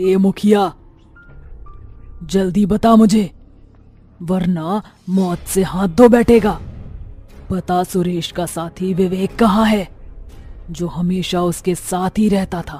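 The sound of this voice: A cartoonish character voice at middle pitch, very slow with long, frequent pauses, over faint background music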